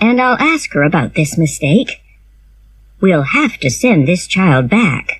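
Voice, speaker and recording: Putting on a character voice, a woman swings her medium-pitched voice very widely while speaking fairly slowly. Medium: read story. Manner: brisk, firm.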